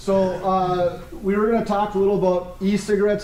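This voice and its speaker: Loud speech at a moderate pace comes through with noticeable background noise and audible room echo. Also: man. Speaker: police officer. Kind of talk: presentation talk.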